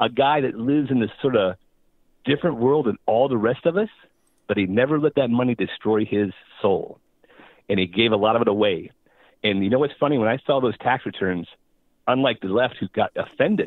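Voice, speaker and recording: A man speaks with an American accent at a medium pitch. His pace is fairly quick, with ordinary pitch variation. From US Northeast. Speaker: pastor. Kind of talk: phone-in comment. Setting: phone call.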